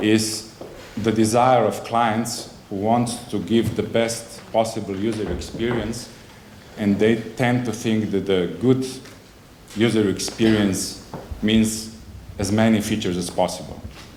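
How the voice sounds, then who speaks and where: A man's fairly low, monotone, flat voice at a fairly slow pace, with long, frequent pauses and audible room echo. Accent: non-native. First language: not English. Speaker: conference speaker, software agency representative. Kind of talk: conference presentation. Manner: halting, many fillers and self-corrections.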